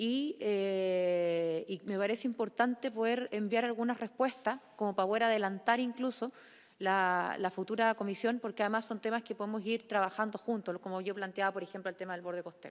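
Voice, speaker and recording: A woman with a normal speaking voice, fairly high in pitch, fairly quick and fairly even in intonation, with hardly any pauses, on a very clean recording with a silent background. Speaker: committee chair, senator. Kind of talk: chairing a hearing.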